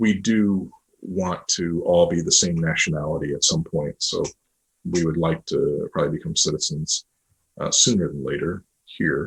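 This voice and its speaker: At a moderate pace, a man speaks with an American accent. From US, New York State. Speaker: adoptive parent. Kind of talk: podcast interview.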